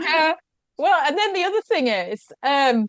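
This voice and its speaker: A woman with a Yorkshire accent, very wide pitch swings, a dry, close sound with no echo and a quiet background. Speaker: food blogger and media guest expert. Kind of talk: podcast interview.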